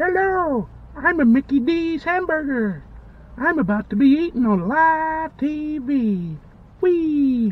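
The voice is a put-on character voice with a high pitch. It moves at a fairly slow pace. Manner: silly, cheerful puppet voice.

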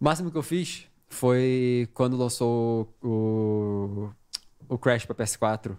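At a very slow pace, a man talks at medium pitch over a quiet background. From Brazil. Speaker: gaming podcast guest; podcast guest. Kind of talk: casual chat. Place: studio. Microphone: studio mic.

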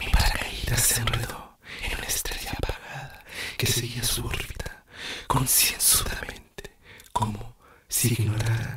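Soft-spoken and fairly slow, a man talks over loud background noise. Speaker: poetry reader. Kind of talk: poetry reading. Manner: soft, hushed ASMR poetry reading. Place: home room. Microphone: studio mic.

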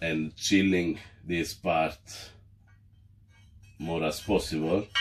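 A man's low-pitched voice at a slow pace, with fairly even intonation and faint music in the background.

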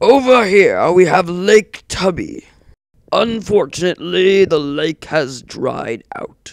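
A man's cartoonish character voice, high-pitched, with very wide pitch swings at a fairly slow pace. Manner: upbeat, welcoming, tour-guide patter.

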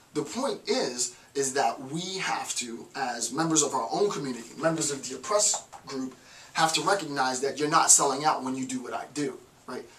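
With ordinary pitch variation, a man speaks at a fairly high pitch and a moderate pace. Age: 30s. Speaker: professor. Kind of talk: lecture. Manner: halting. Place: home room. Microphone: camera far.

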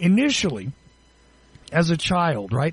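The speech runs at a moderate pace. Its pitch makes very wide swings. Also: man. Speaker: radio host. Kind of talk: radio interview. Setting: studio.

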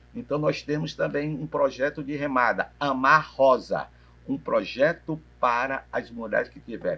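A man with a fairly high pitch and vocal fry talks at a moderate pace. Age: 60s. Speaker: physical education professor. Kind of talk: interview. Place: cafe.

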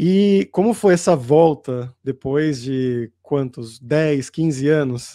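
A very slow, dark and mellow voice with lively intonation and a Brazilian accent, against a quiet background. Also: man, fairly high pitch for a man. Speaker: language teacher, YouTube host. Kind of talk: casual interview talk to camera. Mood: friendly, animated. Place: home room. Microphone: studio mic.

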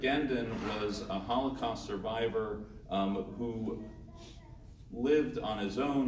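Over noticeable background noise, a man talks in a medium-pitched voice. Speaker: rabbi. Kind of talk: panel presentation. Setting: stage with audience.

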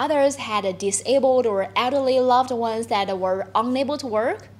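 A woman with a Chinese accent speaks at a moderate pace in a high pitch. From China. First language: Mandarin Chinese. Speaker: journalist. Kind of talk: webinar talk. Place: office.

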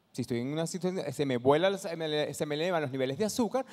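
In a quiet setting, a man with a fairly high pitch talks at a very fast pace. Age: 50s. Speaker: social entrepreneur; conference presenter. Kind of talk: talk to an audience; conference talk. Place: hall. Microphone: handheld.

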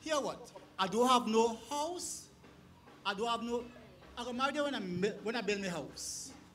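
A man puts on a character voice at an extremely high pitch, bright and sharp in tone, with lively intonation at a moderate pace.

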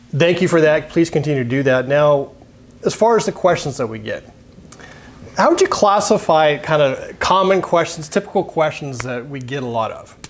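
A man has a normal speaking voice at a fairly high pitch with ordinary pitch variation. He keeps a moderate pace, but his loudness swings widely. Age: 50s. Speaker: precision rifle podcast co-host; podcast co-host. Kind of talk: casual chat. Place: workshop. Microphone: lapel.

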